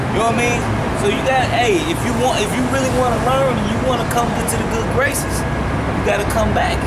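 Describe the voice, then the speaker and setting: Loud background noise fills the clip. Over it, a man speaks at a fairly quick pace. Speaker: street preacher. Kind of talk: street preaching conversation. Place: street. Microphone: camera far.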